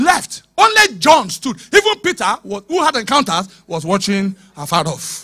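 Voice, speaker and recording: Over a quiet background, a man shouts in a raised, projected voice at a high pitch and a fairly slow pace, his tone bright, sharp and animated, with very wide pitch swings. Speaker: preacher. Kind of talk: sermon. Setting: church with live congregation. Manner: animated, urgent preacher in full flow, exhorting the congregation; call-and-response, commanding the crowd to shout and repeat. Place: church. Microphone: handheld.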